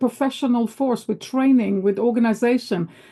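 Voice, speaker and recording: A high-pitched woman at a fairly quick pace, against noticeable background noise. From Israel. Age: 60s. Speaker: book club discussion participant. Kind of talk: casual discussion. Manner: animated; halting.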